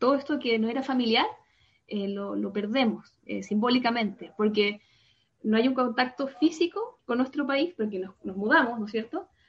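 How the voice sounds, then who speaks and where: This woman has a plain, everyday voice, pitched fairly high with ordinary variation. She speaks at a moderate pace. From Chile, Santiago. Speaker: psychologist. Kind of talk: explanatory interview.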